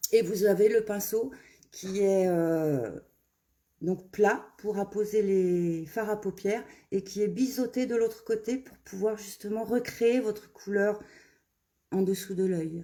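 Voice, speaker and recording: A woman speaks at a medium pitch with ordinary pitch variation. She talks very slowly, leaving long, frequent pauses. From Burgundy, Saône-et-Loire, France. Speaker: make-up brand ambassador. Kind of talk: live make-up tutorial and sales pitch. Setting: Facebook live stream. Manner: hesitant, many fillers.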